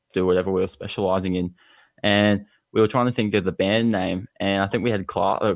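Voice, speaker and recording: With an Australian accent, a man speaks at a fairly quick pace and a fairly low pitch. His intonation is fairly even, and the background is quiet. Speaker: band musician. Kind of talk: casual interview.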